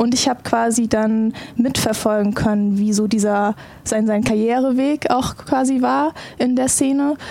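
Against noticeable background noise, a woman speaks fairly slowly at a fairly high pitch, with very even loudness and ordinary pitch variation. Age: 20s. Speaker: esports pro player. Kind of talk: casual chat.

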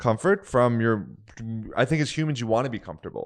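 A man speaks against silence, his pitch varying in a typical way. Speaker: podcast host. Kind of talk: casual chat.

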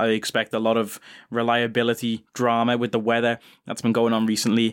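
A man with a British accent speaks at medium pitch. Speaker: podcast host. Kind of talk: casual monologue. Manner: animated.

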